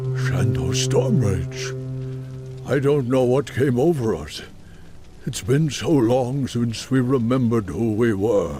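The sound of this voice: Over clear background music, a cartoonish character voice talks at a fairly slow pace. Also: man, medium pitch for a man.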